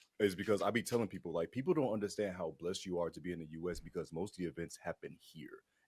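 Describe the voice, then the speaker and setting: Talking at a very fast pace, a man uses a very deep, low pitch. His pitch varies in an ordinary way. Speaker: fighting game commentator and event host. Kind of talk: casual interview chat. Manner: animated.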